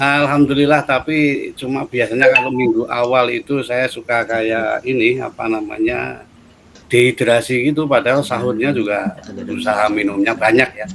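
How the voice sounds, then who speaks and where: With a Javanese accent, a man speaks at a moderate pace. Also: medium pitch for a man, ordinary pitch variation. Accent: Javanese accent, noticeable. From Central Java, Solo. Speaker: head of university study program. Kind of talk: interview.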